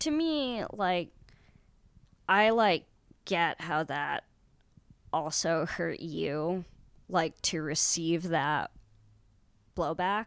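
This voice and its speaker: Very slow, with long, frequent pauses, this voice has an American accent and ordinary pitch variation. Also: woman, fairly low pitch for a woman, very clean recording, silent background. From US West Coast, San Francisco. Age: 20s. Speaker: comedian. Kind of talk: casual chat.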